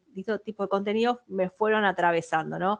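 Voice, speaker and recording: A strong Buenos Aires accent comes through with ordinary pitch variation. The sound is dry and close with no echo, over a quiet background. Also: woman. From Argentina, Buenos Aires. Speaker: communications professional, webinar speaker. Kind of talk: webinar presentation. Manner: hesitant, frequent repetitions.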